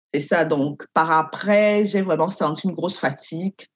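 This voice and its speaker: A woman talks at a fairly slow pace in a normal speaking voice, fairly low in pitch. Her intonation is fairly even, and the background is quiet. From Cameroon. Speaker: doctoral student and lawyer. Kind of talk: interview.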